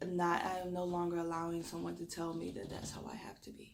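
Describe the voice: In an audible room echo, a woman with a Southern US accent speaks in a fairly low, raspy voice with vocal fry and monotone, flat intonation. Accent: Southern US drawl.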